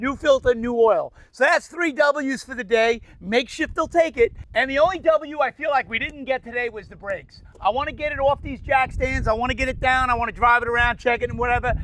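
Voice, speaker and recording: At a fairly quick pace with hardly any pauses, a man speaks at an extremely high pitch, his loudness swinging widely while his pitch varies in an ordinary way. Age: 60s. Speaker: DIY mechanic and painter. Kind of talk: casual chat; tutorial.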